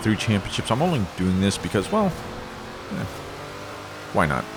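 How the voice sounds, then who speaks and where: Noticeable background noise accompanies this man as he talks. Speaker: gaming video creator. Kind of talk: gameplay commentary. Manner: halting, stops mid-sentence.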